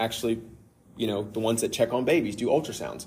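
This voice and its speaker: A man speaks in a somewhat breathy voice. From Kentucky. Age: 30s. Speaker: father sharing faith testimony. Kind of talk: testimony.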